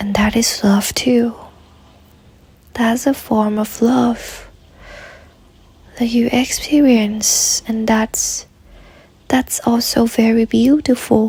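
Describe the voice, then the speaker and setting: Soft-spoken delivery at a very slow pace, with long, frequent pauses and noticeable background noise, fills the clip. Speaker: meditation guide. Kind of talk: guided meditation.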